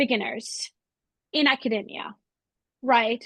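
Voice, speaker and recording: A woman with a non-native accent speaks at a fairly slow pace and with lively intonation, the sound dry and close with no echo. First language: not English. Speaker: webinar host, art historian. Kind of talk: Q&A moderation. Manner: halting.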